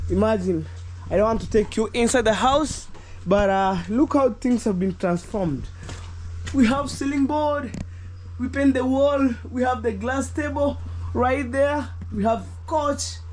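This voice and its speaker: Long, frequent pauses from a man at a fairly slow pace. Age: young. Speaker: vlogger. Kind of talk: casual vlog narration. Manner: hesitant.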